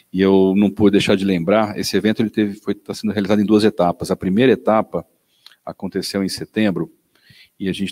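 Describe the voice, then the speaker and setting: A man talks at a very fast pace in a fairly low pitch with a dark, mellow tone. His intonation is monotone and flat, and the sound is dry and close with no echo. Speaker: event host. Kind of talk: panel introduction.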